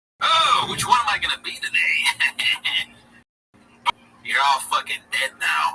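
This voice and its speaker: In a put-on character voice pitched extremely high, a man shouts at a fairly slow pace, with long, frequent pauses. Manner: menacing, taunting.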